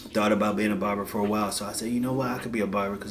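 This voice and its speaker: Flat and monotone, a man with an American accent speaks at a fairly low pitch. Audible room echo and noticeable background noise fill the recording. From Washington DC area. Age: 30s. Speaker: barber and life coach. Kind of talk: casual vlog monologue.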